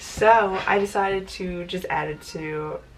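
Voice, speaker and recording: Noticeable background noise fills the clip. A woman talks at a medium pitch through it. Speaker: booktuber. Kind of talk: casual vlog talk.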